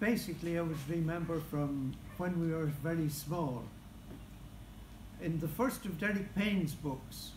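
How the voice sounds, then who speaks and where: In a room with audible echo, a man with a fairly high pitch talks at a fairly slow pace, using ordinary pitch variation and long, frequent pauses. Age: 80s+. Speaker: local historian. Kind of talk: speech at book launch.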